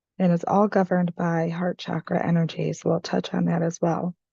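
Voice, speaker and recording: This woman's voice is fairly low, dark and mellow, somewhat breathy, and recorded with a dry, close sound and no echo. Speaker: energy healing coach. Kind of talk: guided journaling tutorial. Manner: casual, conversational.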